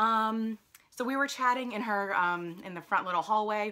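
A woman's bright, sharp voice with an American accent and ordinary pitch variation. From New Jersey, US. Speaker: lifestyle vlogger. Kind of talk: travel vlog, casual talk to camera. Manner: rambling, filler-heavy casual speech. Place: home room. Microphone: phone near.

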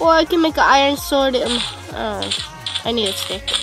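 Over background music, a woman talks at a medium tempo. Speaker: gamer. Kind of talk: casual gameplay commentary. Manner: loud, yelling at times.

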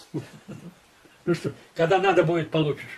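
High pitch from a male speaker. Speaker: war veteran and former intelligence officer. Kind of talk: testimony. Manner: conversational, rambling, halting. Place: home room.

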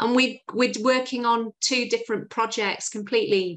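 In a Yorkshire accent, a woman with a fairly high pitch speaks at a moderate pace. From Yorkshire, northern England. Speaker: recruitment agency founder; interview guest. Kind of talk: interview. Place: home room. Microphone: video call.

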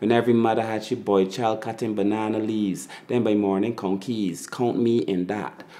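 Speaking with a Barbadian accent, a man keeps a fairly low pitch and a monotone, flat intonation with hardly any pauses. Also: moderate pace. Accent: Barbadian (Bajan). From Barbados. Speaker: spoken word poet. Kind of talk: spoken word poetry performance. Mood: proud, nostalgic, warm.

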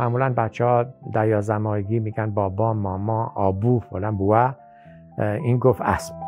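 The speaker keeps a fairly even intonation at a moderate pace, with faint music in the background. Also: man, fairly low pitch for a man. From Bam, Kerman, Iran. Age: 60s. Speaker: farmer and horse breeder; retired teacher. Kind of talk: documentary interview answer. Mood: proud, reminiscing. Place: home room.

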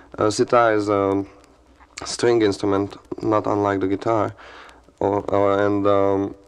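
A man speaks with a Hungarian accent at a fairly low pitch and a fairly slow pace. His intonation is monotone and flat, his loudness very even, and his pauses long and frequent. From Hungary. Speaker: guitarist and sitarist. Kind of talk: radio interview answer. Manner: casual, conversational.

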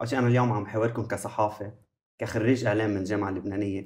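Fairly even in intonation, a man speaks in a somewhat breathy voice. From Lebanon. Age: 20s. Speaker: media trainee, journalism graduate; guest. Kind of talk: audience questions on talk show. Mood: earnest, somewhat challenging. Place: studio. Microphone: lapel.

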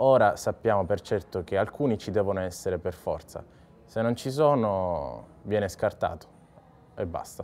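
A man with a fairly low voice speaks at a moderate pace with lively intonation. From Sicily, Ragusa; Sicily. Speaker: physiotherapist. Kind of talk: interview testimony. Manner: hesitant, many fillers. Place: bar. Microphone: lapel.

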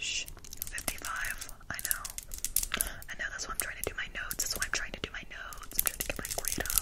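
Someone whispers at a very fast pace. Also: woman. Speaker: roleplay content creator. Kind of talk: roleplay chat to viewer. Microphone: phone near.

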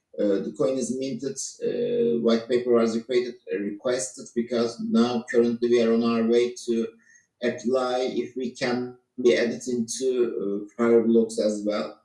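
A man's medium-pitched voice with fairly even intonation, audible room echo and faint music in the background. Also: fairly slow pace. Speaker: tech team lead; presenter. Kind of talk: online presentation. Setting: video call. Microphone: video call.

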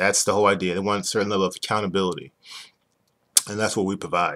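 Against a quiet background, a man speaks very fast in a fairly low voice. His tone is bright and sharp, his intonation monotone and flat. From New York. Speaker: business owner explaining a used car dealer licensing program. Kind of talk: explanatory sales talk. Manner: fast talker. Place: home room. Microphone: webcam.

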